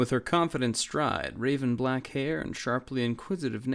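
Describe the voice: Someone reads aloud plainly. Their pitch shifts an ordinary amount.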